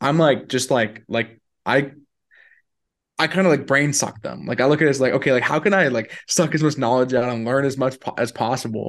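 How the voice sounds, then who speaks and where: A man at medium pitch and a fairly quick pace, with ordinary pitch variation against a quiet background. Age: 20s. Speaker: entrepreneur and business speaker. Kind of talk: casual interview chat. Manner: halting, many fillers and repetitions.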